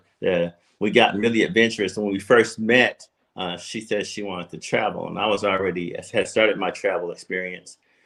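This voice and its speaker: This is a normal speaking voice at a fairly quick pace, with ordinary pitch variation over a quiet background. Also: man, fairly low pitch for a man. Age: 60s. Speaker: retiree and travel YouTuber. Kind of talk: casual chat.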